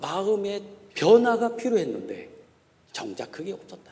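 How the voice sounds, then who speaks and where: A man with a high-pitched voice speaks with a slight Chungcheong accent. Noticeable background noise and audible room echo fill the recording. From Korea, Chungcheong (Gongju). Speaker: pastor and theology professor. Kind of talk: sermon. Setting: church.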